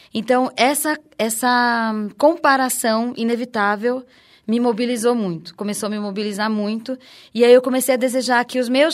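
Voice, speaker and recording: Against a silent background in a very clean recording, a woman with a high pitch talks at a fairly slow pace with fairly even intonation. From Recife, Pernambuco, Brazil. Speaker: researcher, actress and dancer. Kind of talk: interview.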